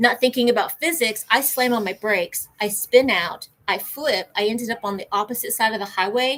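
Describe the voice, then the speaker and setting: In an unremarkable speaking voice, a woman talks at a moderate pace and a fairly high pitch with ordinary pitch variation and hardly any pauses. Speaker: ADHD channel co-host. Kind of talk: casual livestream chat.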